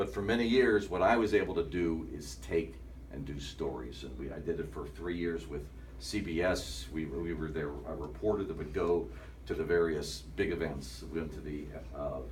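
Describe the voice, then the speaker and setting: In a room with audible echo, a man with a very deep, low voice speaks at a moderate pace with lively intonation. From northeastern Ohio. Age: 60s. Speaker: sports anchor. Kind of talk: talk to students.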